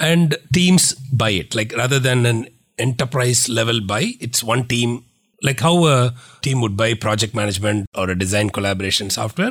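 This man's voice sits at a medium pitch and sounds somewhat breathy, with ordinary pitch variation. The recording is very clean, with a silent background. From India, Tamil Nadu (Trichy). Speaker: tech company founder and CEO. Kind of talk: interview.

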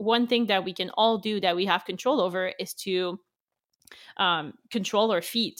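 Speaking in a French Canadian accent, a woman keeps a moderate pace, a medium pitch and ordinary pitch variation. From Quebec. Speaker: magazine founder. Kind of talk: interview. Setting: remote recording.

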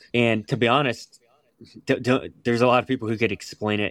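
A man with a normal speaking voice and an American accent talks at medium pitch with fairly even intonation, in a dry, close sound with no echo on a very clean recording with a silent background. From West Virginia. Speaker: raw milk advocate. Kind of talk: interview.

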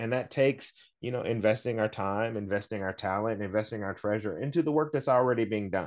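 A man with an American accent speaks in a normal speaking voice, fairly low in pitch, with ordinary pitch variation. He moves at a fairly quick pace against a quiet background. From US South. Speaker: chef and food activist. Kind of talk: interview. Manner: frequent fillers (um, uh).

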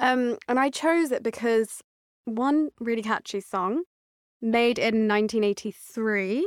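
Recorded very cleanly against a silent background, a woman talks in a plain, everyday voice with fairly high pitch, ordinary pitch variation and very even loudness. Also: fairly slow pace, dry, close sound with no echo. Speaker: personal trainer. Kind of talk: casual chat.

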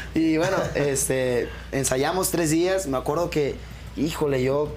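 Noticeable background noise sits behind a man's fairly high voice. He talks at a fairly slow pace. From Jalisco, Mexico (Autlán de Navarro area). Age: 20s. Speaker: band singer. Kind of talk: interview.

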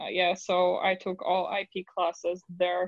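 A woman speaks in a Polish accent at a fairly low pitch. Her intonation is monotone and flat. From Poland. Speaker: lawyer. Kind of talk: interview.

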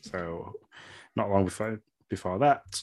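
A man speaks with an English accent at a moderate pace. The recording is very clean, with a silent background. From England. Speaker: podcast co-host. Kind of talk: casual chat.

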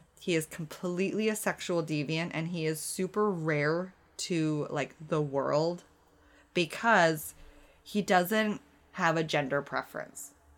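In an ordinary speaking voice, a woman with a Canadian accent talks at a fairly slow pace with a fairly low pitch and ordinary pitch variation, on a very clean recording with a silent background. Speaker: true crime podcast co-host. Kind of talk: casual chat.

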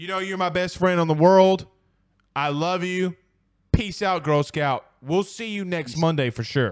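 Loud and animated, a man with a high pitch speaks with ordinary pitch variation. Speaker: sports podcast host. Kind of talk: casual sports talk show.

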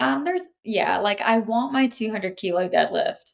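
A woman with an American accent talks at a moderate pace and a medium pitch in an ordinary speaking voice. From North Carolina coast. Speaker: powerlifter and coach. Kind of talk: casual interview chat.

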